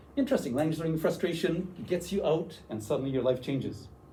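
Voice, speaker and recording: In a room with audible echo, a man with a Canadian accent and a high pitch talks at a fairly quick pace in a dark, mellow tone. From western Canada, Vancouver. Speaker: university language teacher, workshop presenter. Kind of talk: workshop presentation. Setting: room with audience.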